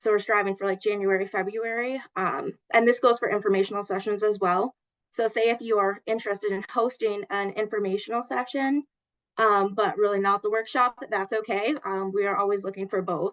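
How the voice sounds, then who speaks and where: A woman at medium pitch, fairly quick in pace, with fairly even intonation. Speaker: health program coordinator. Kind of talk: online meeting presentation. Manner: fast.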